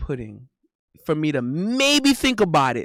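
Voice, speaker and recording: Speaking at a moderate pace, a man with a fairly high voice sounds animated, his intonation lively. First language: not English. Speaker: streamer. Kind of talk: casual chat. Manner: halting.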